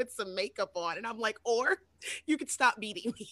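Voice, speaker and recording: An ordinary speaking voice at a moderate pace. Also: woman. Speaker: podcast co-host. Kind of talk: casual chat.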